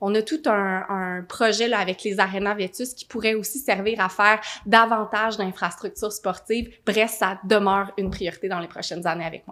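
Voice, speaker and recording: A woman with an ordinary speaking voice at a fairly high pitch and moderate pace, on a very clean recording with a silent background. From Quebec, Gatineau (Outaouais). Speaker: mayor and mayoral candidate. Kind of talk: political Q&A answer. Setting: studio.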